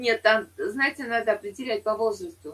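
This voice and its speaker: A woman's fairly high-pitched, somewhat breathy voice. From Saint Petersburg, Russia. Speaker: chat roulette partner. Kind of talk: casual debate chat. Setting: video call. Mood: argumentative, opinionated. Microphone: video call.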